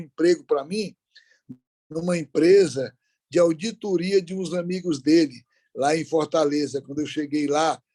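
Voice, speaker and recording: The sound is dry and close with no echo as a man with a high pitch and a dark, mellow tone talks at a moderate pace. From Brazil, Ceará (interior, Aurora). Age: 70s. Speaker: business leader. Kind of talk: interview.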